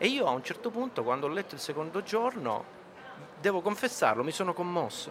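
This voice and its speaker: A man talks at a fairly quick pace with a high pitch and very wide pitch swings. Background noise is noticeable. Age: 50s. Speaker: film director and author. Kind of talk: interview. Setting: radio stand at a book fair.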